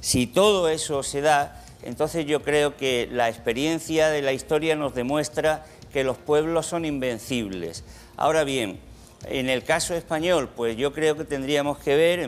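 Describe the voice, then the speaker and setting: Very slow in pace, a man talks at a fairly high pitch with ordinary pitch variation. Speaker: economics professor. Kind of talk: TV studio Q&A answer. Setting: TV studio with audience.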